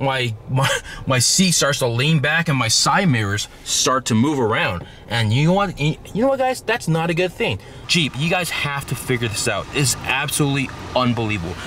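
A man's voice at a moderate pace, lively intonation, dry sound with no echo, light background noise. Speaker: car vlogger. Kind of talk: casual vlog chat. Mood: joking, mildly annoyed. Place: car. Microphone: phone near.

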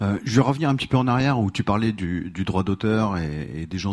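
In a quiet background, a man with an ordinary speaking voice and fairly low pitch talks at a moderate pace. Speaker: audience member. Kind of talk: audience question. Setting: stage with audience.

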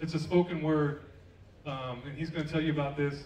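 Audible room echo around a man's speech, plus light background noise. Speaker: event host. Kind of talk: stage announcement and introduction. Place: stage. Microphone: pa.

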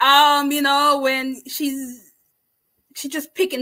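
A woman's raised, projected voice, high in pitch and bright and sharp in tone, moves at a fairly slow pace. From Jamaica. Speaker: booktuber hosting book discussion. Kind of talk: casual livestream book chat. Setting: livestream with live chat. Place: home room. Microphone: webcam.

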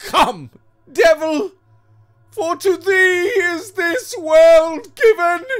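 A man puts on a character voice at an extremely high pitch, speaking at a very slow pace with lively intonation.

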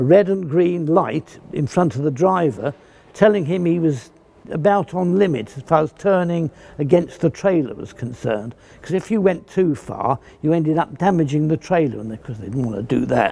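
With few pauses and at a moderate pace, a man speaks in a fairly high pitch with lively intonation, vocal fry, and a dark, mellow tone.

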